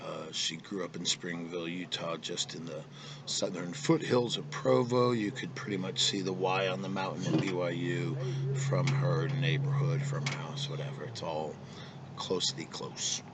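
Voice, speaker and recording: A man's fairly low voice at a moderate pace, very wide pitch swings, audible room echo. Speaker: vlogger. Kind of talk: casual monologue. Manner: halting, many fillers.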